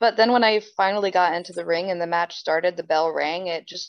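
With a New Jersey accent, a woman talks at a moderate pace. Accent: New Jersey American. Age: 20s. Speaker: professional wrestler. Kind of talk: interview.

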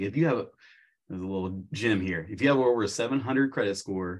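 An unremarkable speaking voice talks at a fairly slow pace with ordinary pitch variation over a quiet background. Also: man. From US Midwest, small-town southern Illinois. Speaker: high school business teacher and car rental host. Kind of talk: casual interview chat.

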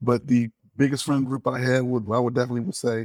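Very fast, monotone speech from a man with an American accent at medium pitch, in a dry, close sound with no echo. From Detroit, Michigan. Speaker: former teacher, airline employee. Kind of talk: interview, personal reminiscence.

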